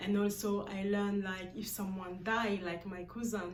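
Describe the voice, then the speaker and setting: A woman speaks at a moderate pace with a medium pitch and a somewhat breathy quality. Room echo is audible. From Guinea-Bissau, West Africa. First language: a Guinea-Bissau language, not English. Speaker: vlogger. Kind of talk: personal vlog monologue. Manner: halting, with many fillers.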